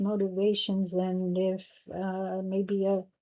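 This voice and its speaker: Mumbling at a very slow pace, a woman speaks in a flat monotone at medium pitch. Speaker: astrologer. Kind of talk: tutorial. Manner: halting.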